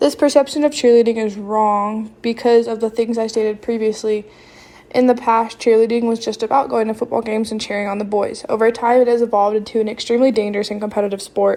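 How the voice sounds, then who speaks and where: In a Southern US accent, the voice rushes along at a very fast pace with a dark, mellow tone and monotone, flat intonation. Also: woman, fairly high pitch for a woman. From US South. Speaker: college student. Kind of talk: reading aloud.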